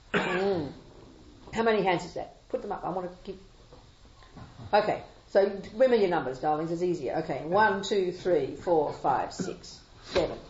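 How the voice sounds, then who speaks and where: In an Australian accent, a woman talks at medium pitch, pausing often and at length. Her loudness swings widely, and the room echo is audible. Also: ordinary pitch variation. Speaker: Buddhist nun and teacher. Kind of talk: dharma talk with Q&A. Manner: fast; animated.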